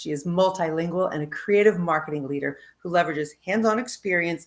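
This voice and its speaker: An unremarkable speaking voice from a woman, fairly low-pitched and fairly quick, with ordinary pitch variation. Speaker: interview show host. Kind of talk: interview host talk.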